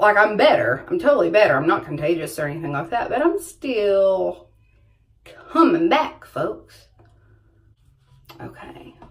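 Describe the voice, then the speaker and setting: Using a Southern US accent, a woman speaks at a fairly slow pace and a medium pitch, with very wide pitch swings and long, frequent pauses. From US South. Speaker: beauty vlogger. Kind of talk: makeup tutorial. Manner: casual chatty.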